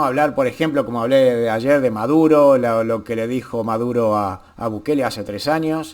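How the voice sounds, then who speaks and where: Taking a fairly slow pace, a man is speaking. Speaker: YouTuber, political commentator. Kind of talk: casual vlog commentary. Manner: halting, repetitive.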